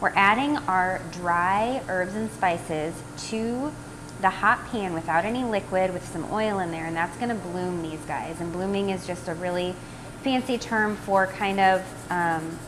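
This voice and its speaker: Noticeable background noise sits behind this voice. The pace is fairly slow, with ordinary pitch variation. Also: woman. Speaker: cooking demo host. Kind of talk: tutorial. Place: kitchen. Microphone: phone near.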